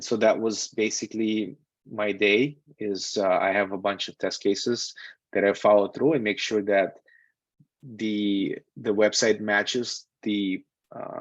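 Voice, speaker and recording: A man with a Russian accent at a fairly slow pace and fairly low pitch, fairly even intonation, a dry sound with no echo, and a quiet background. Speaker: software QA tester and instructor. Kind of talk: online lecture with live Q&A. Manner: casual, with frequent fillers. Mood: relaxed, candid. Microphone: video call.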